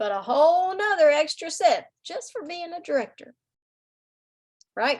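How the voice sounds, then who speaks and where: A woman with a Southern US accent speaks at an extremely high pitch in an animated tone. Her pitch swings very widely at a fairly slow pace. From US South. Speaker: direct sales team leader. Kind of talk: sales team meeting.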